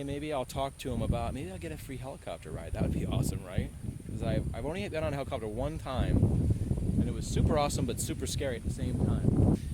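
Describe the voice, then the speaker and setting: Over noticeable background noise and audible room echo, a man talks at a very fast pace with very wide pitch swings. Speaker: vlogger, former reporter. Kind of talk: casual outdoor vlog. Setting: outdoors.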